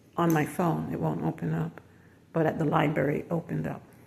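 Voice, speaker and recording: A woman's very deep, low voice with vocal fry, a moderate pace and fairly even intonation. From Jamaica, moved to US at six. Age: 60s. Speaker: self-employed design consultant and vlogger. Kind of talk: casual vlog monologue. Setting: outdoors then building lobby.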